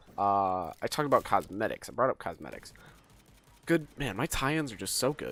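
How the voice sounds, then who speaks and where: In a very clean recording with a silent background, a man at medium pitch makes very wide pitch swings. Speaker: gaming commentator. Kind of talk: casual game review monologue. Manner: fast; unscripted, rambling delivery.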